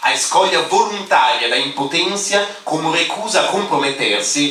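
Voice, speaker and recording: This man talks at a moderate pace with a non-native accent. Noticeable background noise and audible room echo fill the recording. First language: not Portuguese (speaking Portuguese). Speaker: philosophy scholar, panel speaker. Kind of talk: academic conference talk, read paper. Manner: halting, hesitant.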